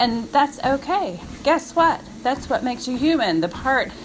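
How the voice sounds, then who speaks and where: A woman speaks fairly slowly with lively intonation while noticeable background noise plays. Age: 50s. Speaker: fitness coach. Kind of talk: motivational monologue. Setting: outdoors on a walk. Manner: casual, conversational.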